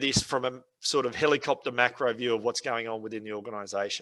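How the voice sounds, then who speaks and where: A man talks at a fairly quick pace in an Australian accent. His pitch rises and falls in an ordinary way. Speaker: software trainer. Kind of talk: webinar tutorial. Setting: online webinar. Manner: fast.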